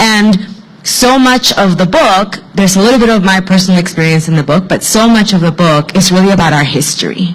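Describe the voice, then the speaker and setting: A woman talks at a fairly quick pace, medium in pitch, with very even loudness. Noticeable background noise runs under her voice. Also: ordinary pitch variation. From Mexico, immigrated to US as a child. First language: Spanish. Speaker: author. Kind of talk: panel discussion.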